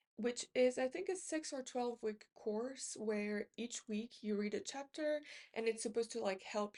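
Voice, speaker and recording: The speaker is a woman with a non-native accent and a dark, mellow tone. Her pitch is fairly high with ordinary variation, and her pace is fairly slow. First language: not English. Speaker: book YouTuber. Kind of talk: casual book haul talk. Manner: halting, many fillers.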